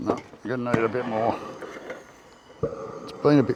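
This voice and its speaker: A man with an Australian accent speaks at a medium pitch and a fairly slow pace over noticeable background noise. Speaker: backyard beekeeper. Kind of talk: tutorial. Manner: casual, relaxed.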